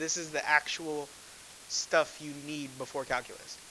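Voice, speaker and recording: A man speaks in a raised, projected voice. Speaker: math teacher. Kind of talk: classroom lecture.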